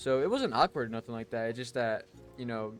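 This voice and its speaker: A man with a medium pitch talks while music plays in the background. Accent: American. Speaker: esports pro player and streamer. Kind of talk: casual vlog monologue. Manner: stuttering, many fillers; casual, animated.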